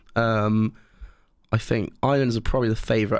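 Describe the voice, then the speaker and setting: Speaking at a very fast pace, a man has a West Country accent. The recording is very clean, with a silent background. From Cornwall, England. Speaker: podcast co-host. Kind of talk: casual chat. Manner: animated.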